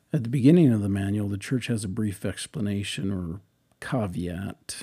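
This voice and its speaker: A man with an American accent, at a moderate pace, somewhat breathy and dark, mellow in tone. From eastern Washington, US. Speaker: church speaker preparing a talk. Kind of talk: reading aloud draft talk notes. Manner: halting.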